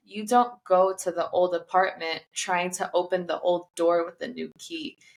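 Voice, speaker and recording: A woman talks at a medium pitch. Her pace is moderate. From US Midwest, Chicago. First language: not English. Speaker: self-published author, former hairstylist. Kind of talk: podcast interview.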